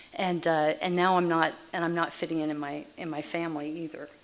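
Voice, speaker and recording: A fairly low-pitched woman's voice in an American accent, with monotone, flat intonation and noticeable background noise. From Massachusetts, then Texas from age 9. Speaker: Al-Anon speaker. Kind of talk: recovery meeting talk.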